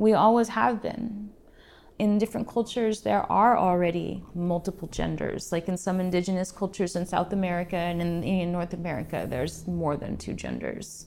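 Speaking at a moderate pace, a woman shows vocal fry, a fairly low pitch and ordinary pitch variation. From rural Alaska. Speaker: writer and teacher. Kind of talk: interview.

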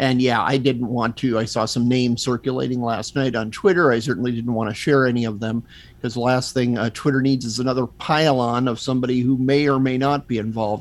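This is an ordinary speaking voice, a man at medium pitch with fairly even intonation. He moves at a fairly quick pace with hardly any pauses. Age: 50s. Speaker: magazine editor and podcaster. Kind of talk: casual chat.

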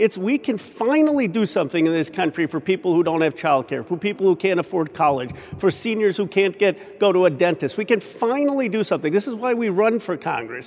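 A high-pitched man with an American accent talks at a fairly quick pace with hardly any pauses. His intonation is lively, and noticeable background noise is present. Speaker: congressman. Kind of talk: news interview.

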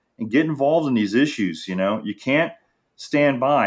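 Speaking at a fairly quick pace with lively intonation, a man with an American accent has a plain, everyday voice, captured in a very clean recording with a silent background. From Florida, Treasure Coast (Jensen Beach). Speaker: journalist. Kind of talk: interview.

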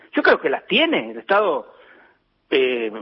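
Pitch swings very wide in a man's voice, the pace moderate. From Argentina. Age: 50s. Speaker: dairy farmer and farmers' association leader. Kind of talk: phone interview. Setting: phone call. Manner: halting, frequent repetitions and fillers.

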